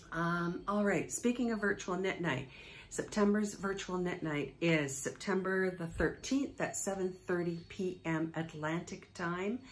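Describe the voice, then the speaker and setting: Her delivery is very slow. The woman's pitch rises and falls by an ordinary amount. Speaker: knitting podcast host. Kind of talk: casual vlog chat. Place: home room. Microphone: phone near.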